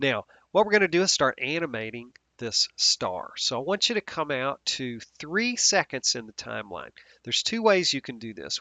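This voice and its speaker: Speaking at a moderate pace, a man uses vocal fry and very wide pitch swings. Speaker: software instructor. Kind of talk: tutorial. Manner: casual, with fillers.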